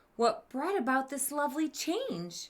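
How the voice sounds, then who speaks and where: A woman's put-on character voice, high in pitch, with very wide pitch swings at a moderate pace. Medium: read story. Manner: sweet, gentle.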